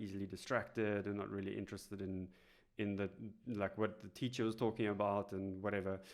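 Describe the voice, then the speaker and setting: On a very clean recording with a silent background, a man talks in a South African accent. His pitch is fairly low, his pace fairly quick and his intonation monotone and flat. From South Africa, Cape Town. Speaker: instructional designer. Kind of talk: podcast interview. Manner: hesitant, many fillers.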